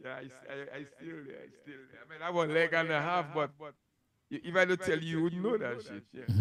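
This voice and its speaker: A man's fairly high, bright and sharp voice at a fairly quick pace, with big swings in loudness, ordinary pitch variation, a dry sound with no echo and noticeable background noise. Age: 60s. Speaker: DJ; interview guest. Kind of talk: casual chat. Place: studio. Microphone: handheld.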